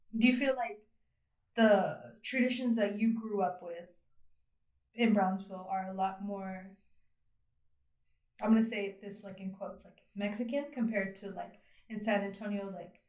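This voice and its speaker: With an American accent, a woman speaks at a moderate pace with fairly even intonation, big swings in loudness and long, frequent pauses, in audible room echo. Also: medium pitch for a woman. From Texas, Abilene. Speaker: podcast host. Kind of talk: interview.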